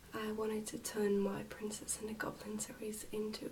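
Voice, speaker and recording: A soft-spoken woman speaks with an English accent. Noticeable background noise runs behind her. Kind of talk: casual talk to camera.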